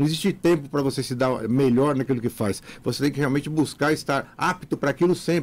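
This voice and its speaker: A man's fairly high voice, animated and fairly quick, with ordinary pitch variation. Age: 60s. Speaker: physical education professor. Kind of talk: radio interview. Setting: radio studio.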